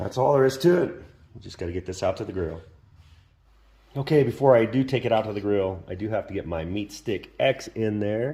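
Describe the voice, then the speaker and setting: Talking at a fairly quick pace, a man with a medium pitch has a dark, mellow, somewhat breathy tone, lively intonation, and big swings in loudness. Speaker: cooking video host. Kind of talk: cooking tutorial. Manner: casual, conversational.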